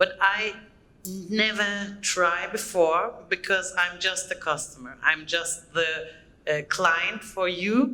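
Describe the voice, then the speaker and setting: A woman's medium-pitched voice in a German accent, at a very slow pace with ordinary pitch variation and audible room echo. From Germany. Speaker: conference speaker. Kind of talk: conference talk. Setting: stage with audience. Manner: halting, many fillers.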